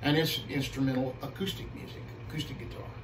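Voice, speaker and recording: A man's voice with fairly even intonation, audible room echo and noticeable background noise. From US Midwest (Missouri, Illinois). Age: 60s. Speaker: guitarist and music teacher. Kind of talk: casual interview. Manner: halting, with frequent repetitions.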